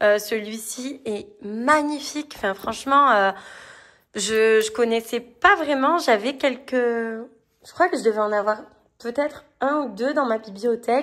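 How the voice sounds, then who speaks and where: Speaking at a very slow pace with ordinary pitch variation, a woman is heard in a very clean recording against a silent background. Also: fairly high pitch for a woman. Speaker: tarot and spirituality book reviewer. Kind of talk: casual book review video.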